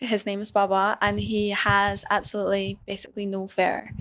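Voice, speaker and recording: This woman has a medium pitch and a slight Scottish accent. The recording is very clean, with a silent background. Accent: Scottish, mild. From Scotland. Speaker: business owner. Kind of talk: casual chat.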